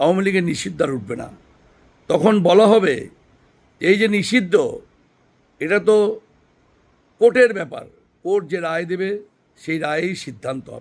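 A man speaks at a high pitch, his pitch varying in an ordinary way. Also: big swings in loudness. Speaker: political commentator. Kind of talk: opinion monologue.

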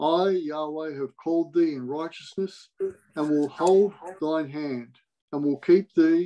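With a dark, mellow tone and ordinary pitch variation, the voice goes at a fairly slow pace against a quiet background. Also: man. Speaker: Bible reader in online meeting. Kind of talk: scripture reading. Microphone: video call.

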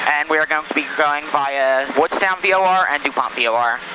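Noticeable background noise sits behind the speech. The man's pitch varies in an ordinary way. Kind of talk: radio call to air traffic control. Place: plane. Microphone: headset.

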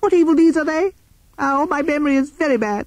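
A squeaky, high-pitched put-on character voice rattles along at a fairly quick pace.

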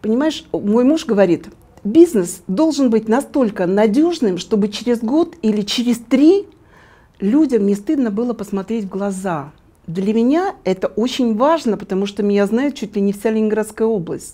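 At a moderate pace, a woman speaks with lively intonation, a fairly high pitch and a dark, mellow tone. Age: 60s. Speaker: retired entrepreneur and network marketer. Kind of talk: interview. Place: home room. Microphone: lapel.

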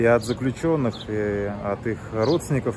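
Noticeable background noise sits under a dry sound with no echo. The pace is fairly slow, with ordinary pitch variation. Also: man. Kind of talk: investigative report introduction. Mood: serious, measured. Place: waterside. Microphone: phone near.

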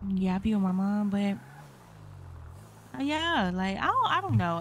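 A woman's voice is heard over noticeable background noise. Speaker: game roleplayer. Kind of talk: in-character game roleplay chat. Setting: online game voice chat.

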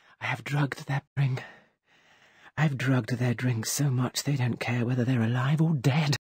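In a put-on character voice, a woman speaks at a fairly slow pace and extremely low pitch, her slightly mellow tone carrying a husky, rough edge and fairly even intonation.

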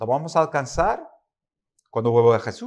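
With a quiet background, a man is speaking. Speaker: preacher. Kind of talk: sermon. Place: church. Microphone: podium.

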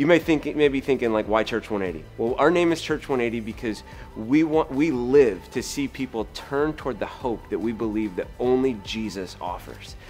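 A man talks at a moderate pace with hardly any pauses. Faint music plays in the background. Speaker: pastor. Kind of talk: promotional invitation to camera.

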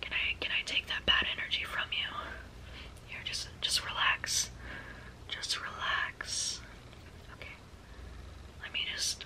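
A woman whispers at a fairly slow pace, leaving long, frequent pauses as her loudness swings widely. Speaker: booktuber / ASMR beginner. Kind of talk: ASMR personal attention and book recommendation. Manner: soft, whispered, repetitive, calming. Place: home room.

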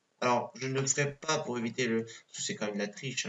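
This man speaks moderately fast with a medium pitch. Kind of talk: gameplay commentary. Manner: hesitant.

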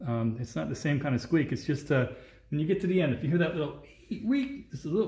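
Audible room echo surrounds this man's voice. He sounds somewhat breathy. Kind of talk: tutorial. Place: garage. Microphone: phone near.

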